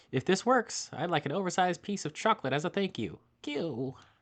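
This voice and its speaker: Doing a put-on character voice, a man talks at a fairly quick pace with a high pitch and very wide pitch swings, the sound dry and close with no echo against a quiet background. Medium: game stream.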